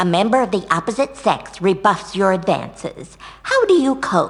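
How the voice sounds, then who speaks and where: Using a put-on character voice, a female-sounding speaker talks at a moderate pace and a medium pitch for a woman. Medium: video game. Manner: sugary, condescending.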